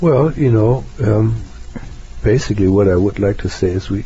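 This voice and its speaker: A man talks with a non-native accent. Noticeable background noise runs underneath. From Germany. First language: German. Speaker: psychotherapist. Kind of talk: interview.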